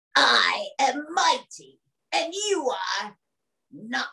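A put-on character voice, high in pitch, delivered at a very slow pace. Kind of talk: character voice performance in an interview. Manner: mighty, boastful.

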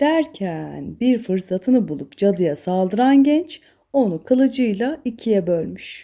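Slow, lively intonation in a dark, mellow tone. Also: woman, medium pitch for a woman.

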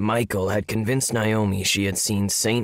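The intonation remains fairly even throughout this natural reading voice.

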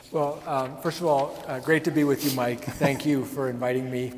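A man talks over light background noise. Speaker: guest. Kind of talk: interview answer. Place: hall.

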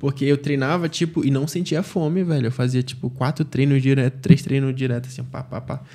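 A man speaks in a dark, mellow, somewhat breathy tone. His intonation is fairly even, and the background is quiet. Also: fairly quick pace. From Manaus, Brazil. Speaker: jiu-jitsu athlete; podcast guest. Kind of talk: casual interview. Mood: relaxed, reflective. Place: studio. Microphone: studio mic.

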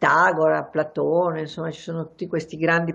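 A woman's very deep, low voice, fairly quick and flat in a monotone, against a quiet background. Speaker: journalist and writer; journalist. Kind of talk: interview. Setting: terrace. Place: home room. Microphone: video call.

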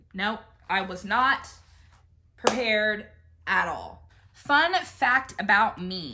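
A woman with a fairly high pitch speaks very slowly, with long, frequent pauses and lively intonation. Her loudness swings widely, and background noise is noticeable. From United States. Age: 20s. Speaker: YouTuber and military spouse; YouTuber. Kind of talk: casual chat. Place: home room. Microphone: phone near.

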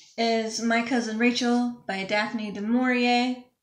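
Audible room echo carries a woman's monotone, flat intonation at a fairly slow pace. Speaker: book vlogger. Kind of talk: casual vlog chat. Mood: relaxed, friendly. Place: home room. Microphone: webcam.

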